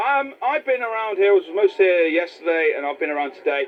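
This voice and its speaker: Very fast male speech against noticeable background noise. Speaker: TV presenter. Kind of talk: casual interview. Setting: outdoors at a show stand. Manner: loud.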